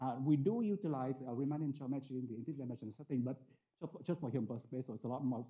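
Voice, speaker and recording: A man talks at a very fast pace in a medium pitch. His tone is dark and mellow, and somewhat breathy. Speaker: mathematics researcher. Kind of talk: lecture. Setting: conference talk with audience. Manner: hesitant, many fillers.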